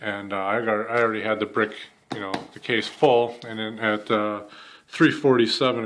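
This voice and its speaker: A man with a Wisconsin accent. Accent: Upper Midwest (Wisconsin) American. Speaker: YouTuber, ammo hunting vlogger. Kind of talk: casual vlog storytelling. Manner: casual, many fillers.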